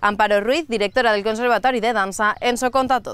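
In an unremarkable speaking voice, a woman talks at a fairly high pitch with fairly even intonation, recorded dry with no echo. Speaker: news presenter. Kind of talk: news reading. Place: open country. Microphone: lapel.

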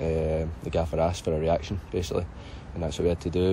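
A man talks very fast in a somewhat breathy, monotone, flat delivery. The sound is dry with no echo, over light background noise. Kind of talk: interview answer. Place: stadium. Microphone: handheld.

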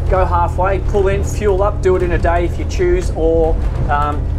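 A man speaking with music in the background. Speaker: boat reviewer. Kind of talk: sea trial commentary. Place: boat.

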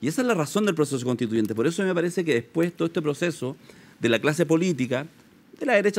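A man speaks at a very fast pace in a fairly high pitch. His intonation is lively. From Chile. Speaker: sociologist; guest. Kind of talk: political analysis interview. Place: studio.

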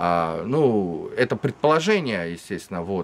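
A man speaks with very wide pitch swings. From Russia. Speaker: Russian opposition activist, political refugee; interviewee. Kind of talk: interview. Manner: halting. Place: garden.

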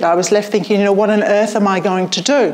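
A woman with a British accent. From UK. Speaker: public speaking coach and event host; public speaking coach, event host. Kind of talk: storytelling on stage; event hosting speech. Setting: stage with audience. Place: hall. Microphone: camera far.

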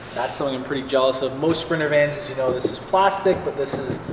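With ordinary pitch variation, a man talks over noticeable background noise. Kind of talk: casual tour commentary. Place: garage. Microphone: camera far.

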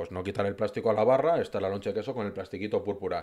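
The background stays quiet. A man talks with a fairly low pitch. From Madrid, Spain; Spain. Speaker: food influencer. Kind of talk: casual interview chat. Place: studio. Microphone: studio mic.

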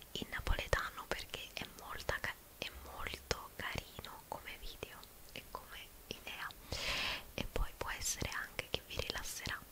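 A soft-spoken woman's whisper at a fairly slow pace, with long, frequent pauses. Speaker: ASMR creator. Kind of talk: soft ASMR chat while doing makeup. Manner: soft close-mic whisper. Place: home room. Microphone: studio mic.

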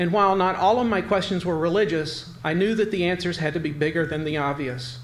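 At a fairly quick pace, a man speaks with a high pitch and ordinary pitch variation over light background noise. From US South, Roanoke, Virginia. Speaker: literary journal editor and event organizer. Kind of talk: speaker introduction. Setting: stage with audience. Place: hall. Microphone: podium.

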